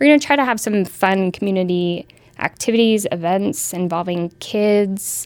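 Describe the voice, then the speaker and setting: A woman speaks in an unremarkable speaking voice at a medium pitch. Her pace is moderate and her pitch varies in an ordinary way. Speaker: chamber of commerce director. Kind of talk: interview soundbite, casual. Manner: conversational, some fillers.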